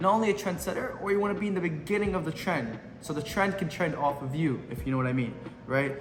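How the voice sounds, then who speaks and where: With noticeable background noise and audible room echo, a high-pitched man speaks very fast with lively intonation. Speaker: social media marketing coach. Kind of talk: tutorial. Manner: casual, unscripted.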